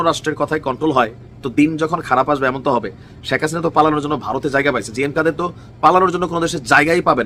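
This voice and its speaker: A man has an unremarkable speaking voice with a fairly high pitch. His pitch variation is ordinary. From Bangladesh, Comilla. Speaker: political commentator. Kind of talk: political commentary video.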